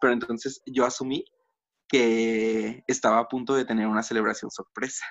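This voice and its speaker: A man talks at a fairly quick pace with a Mexican accent. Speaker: podcast co-host. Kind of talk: casual chat. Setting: video call.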